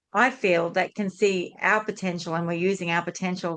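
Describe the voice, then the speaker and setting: Against a quiet background, a woman with a fairly low pitch uses a normal speaking voice, moving at a fairly quick pace with fairly even intonation. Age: 60s. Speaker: podcast host. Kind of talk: podcast interview.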